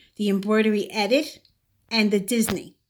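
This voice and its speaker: A woman speaks with a Brooklyn accent. Her pace is moderate. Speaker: sewing channel creator. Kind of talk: tutorial. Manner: casual, hesitant with fillers.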